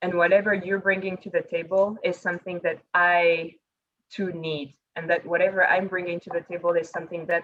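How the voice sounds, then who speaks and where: Speaking with a French accent, a woman keeps a fairly low pitch and a monotone, flat intonation. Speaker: panelist on women in leadership. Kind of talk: panel discussion.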